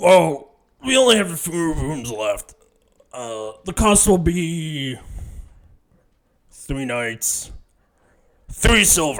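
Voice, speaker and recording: A man's put-on character voice at a fairly high pitch, very slow with long, frequent pauses. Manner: gruff.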